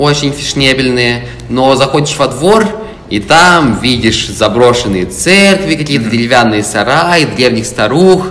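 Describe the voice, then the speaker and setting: Amid noticeable background noise and audible room echo, a man talks at a medium pitch with lively intonation. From Moscow (born in Tula, moved at age three). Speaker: historian and lecturer. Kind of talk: casual interview chat.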